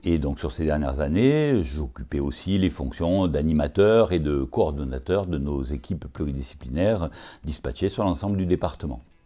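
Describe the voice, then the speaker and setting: With a very deep, low pitch and a dark, mellow tone, a man talks at a moderate pace with ordinary pitch variation in a very clean recording with a silent background. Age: 60s. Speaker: occupational physician. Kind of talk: interview. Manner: hesitant, many filler sounds.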